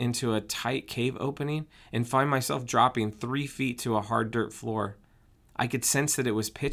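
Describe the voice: This is plain reading aloud. The text is read through.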